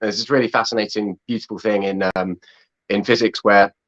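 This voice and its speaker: In an English accent, a man speaks with fairly low pitch and fairly even intonation against a quiet background, the sound dry and close with no echo. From England. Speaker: film director and actor. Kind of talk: interview. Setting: video call.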